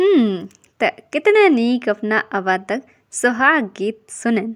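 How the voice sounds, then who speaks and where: A woman's fairly high voice with a dry, close sound and no echo. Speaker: radio program host. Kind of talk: community radio talk show.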